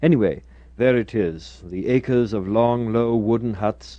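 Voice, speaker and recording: A man talks at a moderate pace and medium pitch. He has a plain, everyday voice. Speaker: radio producer. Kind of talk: radio documentary narration.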